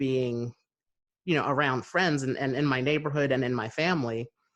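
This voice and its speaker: A man with an American accent has an ordinary speaking voice, speaking at a moderate pace and medium pitch with ordinary pitch variation. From New Jersey, USA. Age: 30s. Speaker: podcast host. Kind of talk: conversational interview talk.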